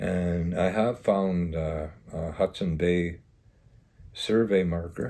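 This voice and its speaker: A man speaks very slowly with long, frequent pauses. His pitch is very deep and low, with a dark, mellow tone and ordinary pitch variation. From Green Lake, Saskatchewan; Saskatchewan, Canada. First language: Cree. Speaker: village mayor. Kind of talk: interview about local history. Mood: reflective, recalling the past. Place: home room. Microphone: lapel.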